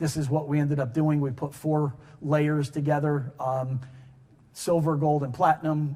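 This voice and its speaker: A man with an American accent speaks in a fairly high, somewhat breathy voice with a dark, mellow tone. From US Northeast, Connecticut (New Haven). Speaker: engineer and technology director at a manufacturer, conference speaker. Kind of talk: conference presentation. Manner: fast.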